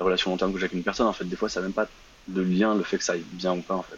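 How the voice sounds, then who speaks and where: A man's voice with a very deep, low pitch. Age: 20s. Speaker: caller. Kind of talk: casual chat. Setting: live call-in on Instagram. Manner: halting.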